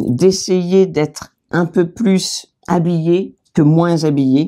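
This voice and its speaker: Very slow delivery in a dark, mellow tone, pitch varying in an ordinary way. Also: woman. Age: 60s. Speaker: author, video co-host. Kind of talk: casual fashion chat.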